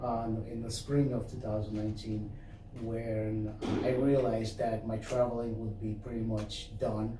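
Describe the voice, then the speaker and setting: Noticeable background noise and audible room echo fill the clip. A man speaks at medium pitch and moderate pace, monotone and flat. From Chicago, Rogers Park (immigrated from Moscow as child). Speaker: business owner. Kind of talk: interview. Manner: halting, many fillers.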